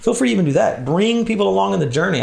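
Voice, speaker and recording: At a very fast pace, with an American accent, vocal fry and audible room echo. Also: man. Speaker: church leader, workshop speaker. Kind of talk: conference workshop talk.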